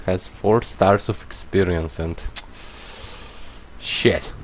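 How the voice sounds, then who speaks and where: A non-native accent over noticeable background noise. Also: man. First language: not English. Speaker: gaming YouTuber. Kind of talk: let's play commentary. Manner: casual, thinking aloud with hesitations.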